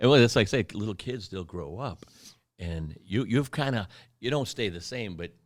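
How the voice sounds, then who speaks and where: A man with an unremarkable speaking voice talks at a moderate pace with lively intonation and big swings in loudness. The recording is very clean, with a silent background. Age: 60s. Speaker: martial arts instructor and podcast host. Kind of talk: casual interview chat.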